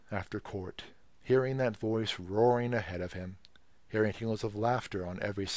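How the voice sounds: The voice reads naturally, with pitch varying an ordinary amount.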